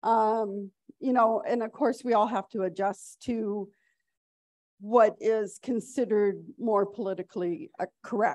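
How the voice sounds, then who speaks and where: A normal speaking voice from a woman, fairly high in pitch, with ordinary pitch variation and a fairly slow pace. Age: 60s. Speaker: veterinarian and conference speaker. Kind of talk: conference lecture.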